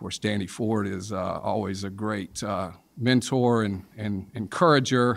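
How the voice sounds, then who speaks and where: In a Southern US accent, a man speaks at a fairly slow pace with a fairly low pitch and ordinary pitch variation. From South Carolina. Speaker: sports and entertainment lawyer. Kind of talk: interview.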